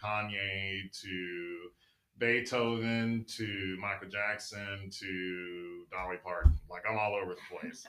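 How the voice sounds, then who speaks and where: Very slowly, a man speaks with a bright, sharp tone at a fairly low pitch. His intonation is monotone and flat. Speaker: university recreation staff member. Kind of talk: casual panel chat.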